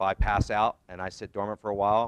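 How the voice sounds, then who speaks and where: A man speaks very fast in a very deep, low voice with flat, monotone intonation, recorded dry and close with no echo. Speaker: safety equipment company representative. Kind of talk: seminar presentation.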